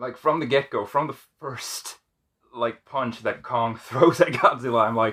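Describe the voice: A man's medium-pitched, fairly bright voice at a fairly slow pace.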